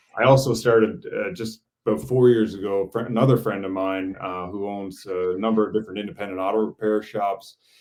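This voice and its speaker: At a fairly quick pace with hardly any pauses, a normal speaking voice carries ordinary pitch variation. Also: man, fairly low pitch for a man. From Newfoundland, Canada. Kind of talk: interview. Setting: live video stream.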